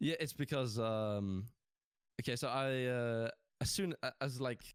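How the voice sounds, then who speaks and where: A man with a British accent speaks at medium pitch and with fairly even intonation, in a very clean recording with a silent background and a dry, close sound with no echo. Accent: English (British) accent learned from gaming. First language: Norwegian. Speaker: gaming content creator. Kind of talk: casual interview chat. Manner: hesitant, many fillers.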